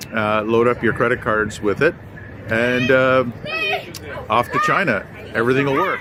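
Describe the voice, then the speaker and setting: Noticeable background noise sits behind a man speaking at a moderate pace and medium pitch, with ordinary pitch variation. His loudness is very even, and he takes long, frequent pauses. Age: 60s. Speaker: travel vlogger. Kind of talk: travel vlog narration. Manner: hesitant, many filler words.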